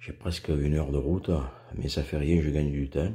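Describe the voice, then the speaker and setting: Somewhat breathy, with a very deep, low pitch and a dark, mellow tone, a man speaks at a moderate pace and fairly even intonation. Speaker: spearfishing vlogger. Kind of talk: vlog commentary. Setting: in a car.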